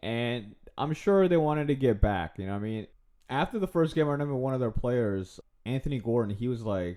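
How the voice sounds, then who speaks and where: Speaking at a moderate pace, a man with a medium pitch sounds animated, his intonation lively. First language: not English. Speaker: football commentator / fan vlogger. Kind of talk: casual monologue.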